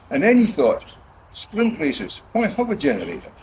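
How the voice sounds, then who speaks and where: Over noticeable background noise, a man's high-pitched voice moves in very wide pitch swings. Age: 80s+. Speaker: car club founding member. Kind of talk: speech to club gathering.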